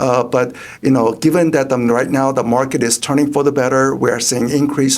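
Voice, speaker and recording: The speech moves at a fairly quick pace with hardly any pauses, very even loudness, and monotone, flat intonation over noticeable background noise. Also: man. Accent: Korean. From South Korea. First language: Korean. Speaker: economist. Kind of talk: interview. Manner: halting, many fillers.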